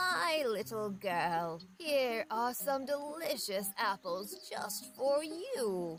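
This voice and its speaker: A woman's put-on character voice, fairly high and swinging very widely in pitch, very slow yet with hardly any pauses, over clear background noise. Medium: read story. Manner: scheming, vain.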